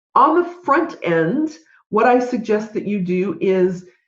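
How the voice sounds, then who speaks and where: Somewhat breathy, a woman speaks at a fairly high pitch with very wide swings in her pitch. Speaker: podcast host and business consultant. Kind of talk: solo podcast talk. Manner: animated.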